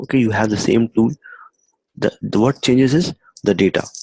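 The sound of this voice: A man speaks at a moderate pace with a fairly low pitch, ordinary pitch variation and a dark, mellow tone. His voice carries a slightly husky edge and vocal fry, and the sound is dry and close with no echo.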